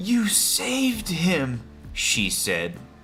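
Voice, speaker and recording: A man with an American accent speaks with very wide pitch swings over music in the background. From United States. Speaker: English teacher. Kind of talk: graded story reading for English learners. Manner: clear, slowly paced narration.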